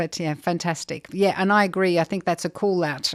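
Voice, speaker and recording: Here a woman with an Australian accent talks at a fairly quick pace with ordinary pitch variation. The recording is very clean, with a silent background. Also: dry, close sound with no echo. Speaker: podcast host, charity CEO. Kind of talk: interview podcast.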